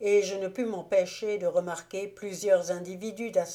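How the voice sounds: The clip features a natural reading voice.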